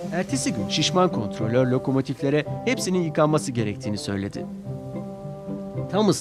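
The clip features a natural reading voice.

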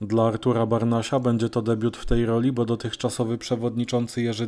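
Fairly quick speech from a man at a medium pitch. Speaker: local news reporter. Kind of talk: news reading, scripted narration.

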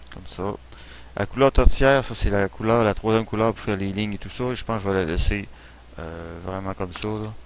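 Fairly low in pitch, a man talks at a fairly quick pace with ordinary pitch variation and big swings in loudness. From Quebec. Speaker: gaming YouTuber. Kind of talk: let's play commentary. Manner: hesitant, many fillers.

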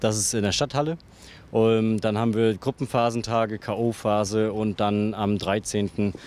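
Intonation stays fairly even, and the sound is dry with no echo. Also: man. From Mecklenburg-Vorpommern, northeastern Germany. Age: 20s. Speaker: goalball player and team captain. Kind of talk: interview. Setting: hotel with panorama view. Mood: calm, friendly. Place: open country. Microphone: handheld.

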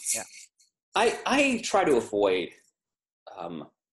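Light noise sits in the background while a man speaks. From US South. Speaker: podcast co-host. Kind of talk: casual chat. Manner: laughs often. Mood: relaxed, joking. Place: home room. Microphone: webcam.

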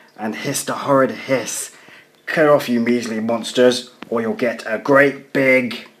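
The clip carries a natural reading voice.

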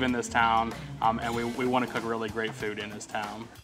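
Clear music plays behind a man talking at a very fast pace. His intonation stays monotone and flat. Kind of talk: interview answer. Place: cafe. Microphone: lapel.

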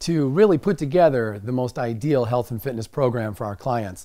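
Against a quiet background, a man speaks at a moderate pace with a dark, mellow tone. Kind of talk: lecture. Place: studio.

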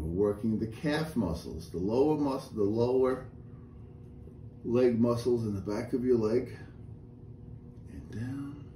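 A man speaks at a very slow pace. Light background noise and audible room echo surround him. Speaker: exercise instructor. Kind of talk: tutorial. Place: home room. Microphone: camera far.

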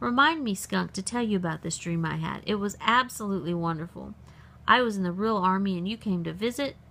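Natural reading voice

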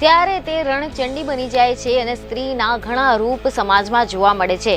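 Clear music plays in the background as a woman speaks at a high pitch. Her sound is dry with no echo and shows ordinary pitch variation. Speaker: news presenter. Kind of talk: news feature narration. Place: studio.

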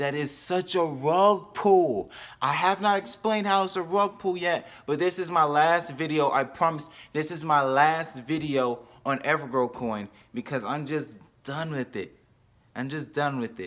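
The speaker is a man with ordinary pitch variation. He delivers his words at a fairly slow pace. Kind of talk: casual vlog commentary, partly sarcastic. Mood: sarcastic, mocking. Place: home room. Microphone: phone near.

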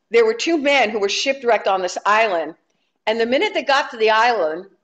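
Natural reading aloud with lively intonation over a quiet background.

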